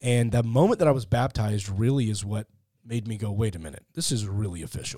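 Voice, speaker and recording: Speaking very fast with an American accent, a man has a fairly low pitch, a dark, mellow tone, a somewhat breathy quality, and ordinary pitch variation. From Texas, Fort Worth. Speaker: atheist podcaster. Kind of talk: conversational interview. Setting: studio.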